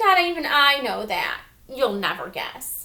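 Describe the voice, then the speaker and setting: A woman uses a put-on character voice with very wide pitch swings. She speaks at a fairly slow pace. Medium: read story.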